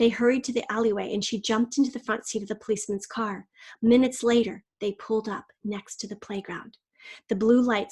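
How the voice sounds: A natural reading voice with fairly even intonation against a quiet background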